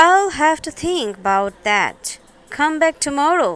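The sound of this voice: Using a put-on character voice, a woman speaks high and squeaky at a fairly slow pace.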